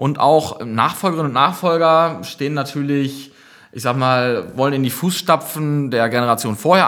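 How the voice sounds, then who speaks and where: In a very clean recording with a silent background, a man with a normal speaking voice talks at a medium pitch and a moderate pace. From Münsterland, northwestern Germany (Gronau). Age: 30s. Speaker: project manager and brewery founder. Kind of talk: casual podcast chat.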